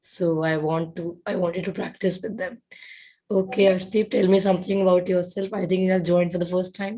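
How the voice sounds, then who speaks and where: At a fairly quick pace, a woman speaks in a somewhat breathy, dark and mellow voice of medium pitch. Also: fairly even intonation. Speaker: IELTS trainer. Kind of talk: live online class. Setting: video call.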